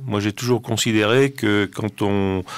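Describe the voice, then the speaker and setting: Very slow delivery with ordinary pitch variation on a very clean recording against a silent background. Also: man. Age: 60s. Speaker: cultural association president. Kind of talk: radio interview. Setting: studio. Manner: halting.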